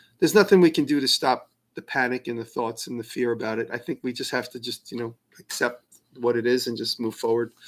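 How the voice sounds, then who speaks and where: A man with a New York accent, medium pitch, ordinary pitch variation and a very fast pace, on a very clean recording with a silent background. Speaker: maker answering viewer questions. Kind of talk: live stream Q&A. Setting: live stream, alone. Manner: casual, with many fillers and restarts.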